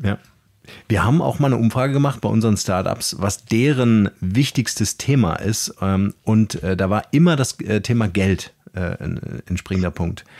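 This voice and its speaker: A plain, everyday voice from a man, fairly low-pitched, with a dry, close sound and no echo. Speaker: podcast host. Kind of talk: casual interview. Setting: video call.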